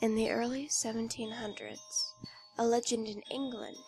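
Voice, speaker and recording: Music plays in the background as a woman speaks at a moderate pace. Her intonation is monotone and flat. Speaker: creepypasta narrator. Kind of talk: horror story narration.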